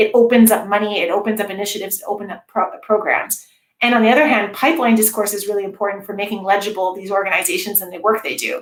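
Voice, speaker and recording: A woman talks very fast, her loudness swinging widely while her pitch varies in an ordinary way. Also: medium pitch for a woman, hardly any pauses. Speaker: games studies researcher. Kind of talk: academic talk Q&A.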